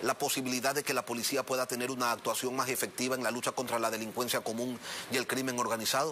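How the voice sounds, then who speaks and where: A man speaks at a fairly quick pace with a medium pitch. Light background noise sits behind him. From Ecuador. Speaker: TV news interviewer. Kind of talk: TV news interview. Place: studio. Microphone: lapel.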